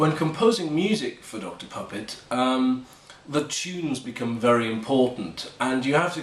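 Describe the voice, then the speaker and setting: A man speaks with a British accent. Audible room echo and noticeable background noise are present. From Britain. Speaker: composer and narrator. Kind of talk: casual behind-the-scenes explanation. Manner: hesitant, many filler ums.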